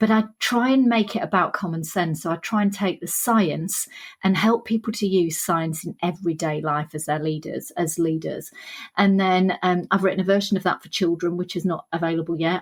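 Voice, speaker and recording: A woman with a Sheffield accent talks fairly quickly in a somewhat breathy, fairly low voice, her intonation fairly even but her loudness swinging widely. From northern England, Sheffield. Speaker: author and leadership trainer. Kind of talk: podcast interview.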